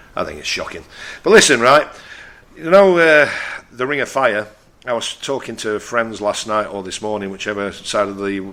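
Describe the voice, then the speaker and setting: With a Yorkshire accent, a man speaks in a bright, sharp tone with lively intonation. His moderate pace is broken by long, frequent pauses. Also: medium pitch for a man. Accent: northern English (Yorkshire). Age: 60s. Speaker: radio host. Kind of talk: radio talk show monologue. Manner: blunt; halting.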